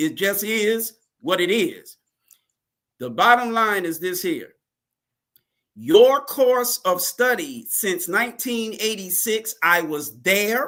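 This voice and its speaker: Speaking very slowly with long, frequent pauses, a high-pitched man projects a raised voice with a bright, sharp tone and lively intonation. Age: 60s. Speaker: religious teacher. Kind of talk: interview. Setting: live broadcast.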